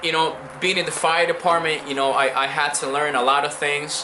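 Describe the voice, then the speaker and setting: With music in the background and audible room echo, a man with a Spanish accent speaks at a moderate pace in a fairly high pitch. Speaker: immigrant, former firefighter. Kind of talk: interview. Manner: hesitant, many fillers and repetitions.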